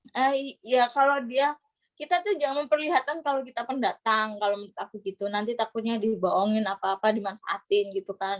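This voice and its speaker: A woman speaks with a Surabaya accent at a fairly high pitch, her pitch varying in an ordinary way. She talks at a fairly quick pace with hardly any pauses, and the sound is dry and close with no echo. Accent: Javanese (Surabaya) accent still noticeable. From East Java, Indonesia (Gresik/Surabaya). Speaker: scholarship graduate. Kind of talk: casual interview chat.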